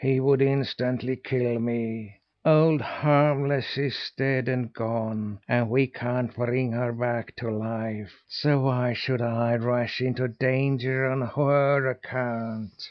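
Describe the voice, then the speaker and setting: A man uses a put-on character voice at medium pitch, monotone and flat, with hissing, a very slow pace and hardly any pauses. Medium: read story.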